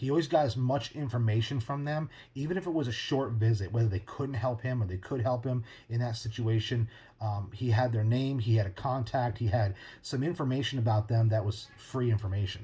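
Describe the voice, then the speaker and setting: This man's somewhat breathy voice has a dark, mellow tone, a medium pitch and ordinary pitch variation. He speaks at a fairly quick pace on a very clean recording with a silent background. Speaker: podcast host. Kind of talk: casual monologue. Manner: fast.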